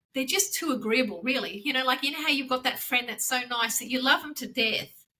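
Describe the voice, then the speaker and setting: A woman with an Australian accent projects a raised voice at a high pitch with a bright, sharp tone. She speaks at a fairly quick pace with ordinary pitch variation. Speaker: branding consultant. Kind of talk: casual interview. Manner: fast.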